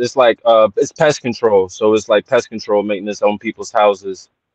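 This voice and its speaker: A man speaks at a moderate pace with ordinary pitch variation, the sound dry with no echo and the background quiet. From US. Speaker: caller. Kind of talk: casual chat. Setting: call-in from work. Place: car. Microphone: video call.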